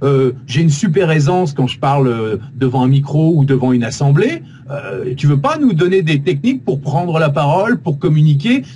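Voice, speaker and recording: A man with ordinary pitch variation speaks at a moderate pace and a fairly high pitch, with noticeable background noise behind him. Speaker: voice actor and radio host. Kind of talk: interview answer. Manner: dynamic.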